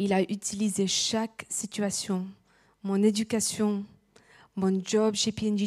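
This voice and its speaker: The recording is very clean, with a silent background. The pace is very slow. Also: woman. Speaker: preacher. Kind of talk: sermon. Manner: halting.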